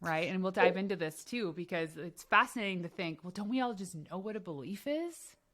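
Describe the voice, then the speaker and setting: With a slight Canadian accent, the speaker goes at a fairly quick pace with ordinary pitch variation. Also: woman, medium pitch for a woman, hardly any pauses. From Canada. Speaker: podcast host. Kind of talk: interview.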